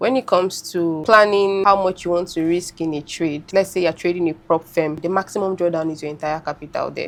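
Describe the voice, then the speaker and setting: Amid noticeable background noise, a woman with a Nigerian accent speaks at a fairly low pitch and a fairly quick pace. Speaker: forex trader. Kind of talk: podcast interview answer.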